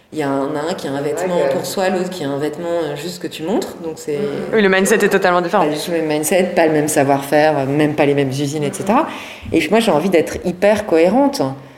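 Amid noticeable background noise and audible room echo, a woman speaks very fast in a fairly low pitch with ordinary pitch variation. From Lorraine, France (Thionville). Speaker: lingerie brand founder and CEO. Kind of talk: interview.

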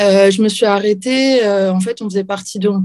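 At a moderate pace, a woman speaks at a medium pitch in a dark, mellow, somewhat breathy tone. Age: 40s. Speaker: professional MMA fighter and librarian. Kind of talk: interview.

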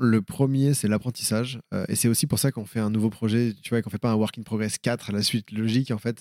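Talking at a fairly quick pace, a man with a dark, mellow tone is heard in a very clean recording with a silent background and a dry, close sound free of echo. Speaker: speaker and documentary maker. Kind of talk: interview. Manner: casual, many fillers; energetic.

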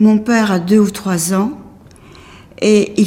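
A woman with a medium-pitched voice is heard over noticeable background noise. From Paris, France. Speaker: Holocaust survivor. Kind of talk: testimony. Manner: halting.

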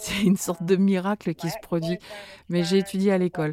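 With music in the background and a dry, close sound with no echo, a woman speaks at a medium pitch and moderate pace. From Manchester, England. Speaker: singer. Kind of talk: interview.

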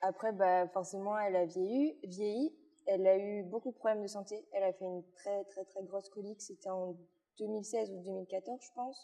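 A woman has an ordinary speaking voice at medium pitch. She keeps a moderate pace and fairly even intonation. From Belgium, Luxembourg province (born in Liège). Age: 19. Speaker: equine masseuse, rider and influencer. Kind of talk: casual interview.

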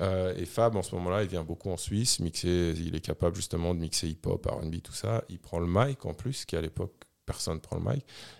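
On a very clean recording with a silent background, a man talks fairly quickly in a very deep, low voice with ordinary pitch variation. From Switzerland, Geneva area. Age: 40s. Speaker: DJ. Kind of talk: casual interview chat. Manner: casual, many fillers.

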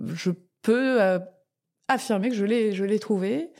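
This is a woman speaking. Her pitch is medium. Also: very clean recording, silent background. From Tokyo, London and France. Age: 40s. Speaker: food entrepreneur. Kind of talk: interview. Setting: office space in Paris.

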